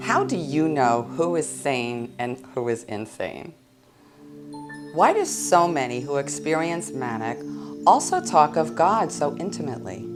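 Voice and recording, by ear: Over faint music in the background, a woman speaks at a low pitch and a fairly slow pace, with big pitch swings.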